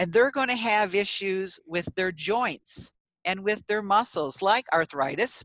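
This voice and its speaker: A woman in a normal speaking voice, medium in pitch, with lively intonation at a fairly slow pace, the sound dry and close with no echo. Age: 60s. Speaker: AAC specialist speech language pathologist. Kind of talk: interview.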